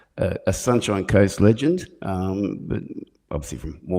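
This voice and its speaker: The voice has an Australian accent and a dark, mellow tone. Its pitch variation is ordinary. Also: man. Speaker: podcast host, musician. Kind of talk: casual chat.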